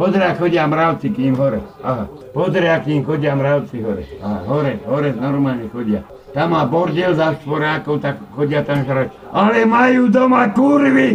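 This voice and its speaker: Over noticeable background noise, a man with a fairly high pitch speaks at a moderate pace, his pitch swinging very widely. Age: 50s. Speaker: angry tenant. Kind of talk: angry rant. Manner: loud.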